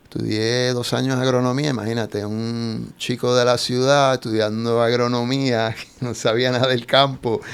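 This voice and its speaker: A man at medium pitch, monotone and flat, with hardly any pauses. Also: moderate pace. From Puerto Rico, San Juan. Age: 60s. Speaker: surfer and boat captain. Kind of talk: casual interview. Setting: studio.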